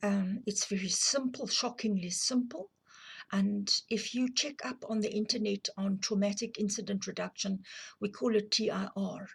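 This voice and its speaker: A woman speaks in a South African accent, her voice somewhat breathy. Her intonation stays fairly even. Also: medium pitch for a woman, moderate pace. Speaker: abuse survivor and counselling advocate. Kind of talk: personal testimony to camera. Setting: filmed on camera. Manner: hesitant, with fillers.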